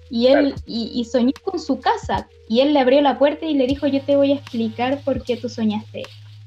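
A woman talks at a high pitch with hardly any pauses, over noticeable background noise. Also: ordinary pitch variation, moderate pace. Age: 30s. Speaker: youth leader. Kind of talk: casual chat.

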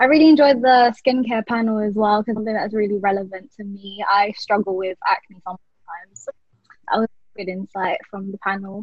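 A woman with a British accent speaks at a fairly quick pace in a fairly high, somewhat breathy voice, with ordinary pitch variation and big swings in loudness. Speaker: law trainee, festival committee member. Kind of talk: casual chat.

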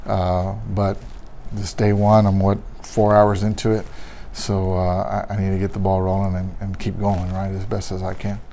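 There is audible room echo around this recording. A man with an American accent speaks at a fairly low pitch. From Texas, San Antonio. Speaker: police union president. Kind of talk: interview.

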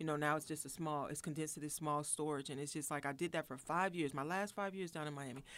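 In a Southern US accent, a woman with a very deep, low pitch speaks at a very fast pace with hardly any pauses and fairly even intonation, on a very clean recording with a silent background. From Florida. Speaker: radio guest, actress and host. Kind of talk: casual radio interview, chatty and candid. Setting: radio studio. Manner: warm, conversational, earnest.

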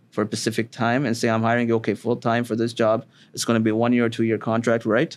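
A man at a very fast pace, with very even loudness and monotone, flat intonation. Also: medium pitch for a man. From Ontario, Canada (Sarnia). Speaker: immigration lawyer. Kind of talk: interview. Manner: halting, many fillers.

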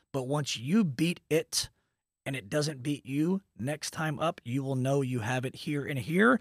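With a normal speaking voice and an American accent, a man talks at a fairly slow pace and fairly high pitch, with ordinary pitch variation, in a very clean recording with a silent background and a dry, close sound with no echo. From Texas, Dallas. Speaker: mortgage branch owner. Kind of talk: casual interview chat.

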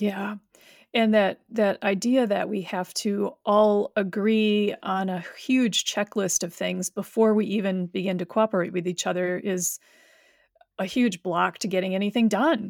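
A woman speaks in a plain, everyday voice at medium pitch, with fairly even intonation. Her pace is fairly slow, and the sound is dry and close, with no echo. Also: very clean recording, silent background. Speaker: podcast host and professor. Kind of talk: interview conversation.

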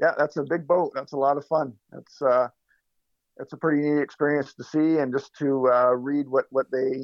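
In a Canadian accent, a man with an unremarkable speaking voice talks at a moderate pace and a medium pitch. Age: 50s. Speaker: lawn care business owner. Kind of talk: casual chat.

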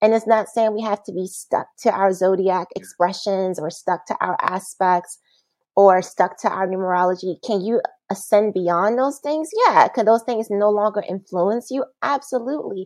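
At a moderate pace, a woman talks in an unremarkable speaking voice at medium pitch with ordinary pitch variation. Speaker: massage therapist and bodyworker. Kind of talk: casual interview chat. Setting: video call.

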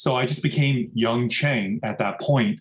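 A plain, everyday voice from a man with an American accent, medium in pitch, ordinary in its pitch variation, at a moderate pace. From US Midwest (Rochester, Minnesota), then California. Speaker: food entrepreneur. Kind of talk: interview conversation. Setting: remote call.

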